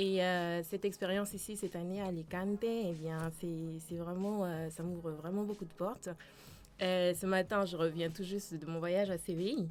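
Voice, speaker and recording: At a moderate pace, a woman with a Dutch accent speaks in a fairly low voice with fairly even intonation. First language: Dutch (speaking French). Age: 20s. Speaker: student. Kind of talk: interview. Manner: hesitant.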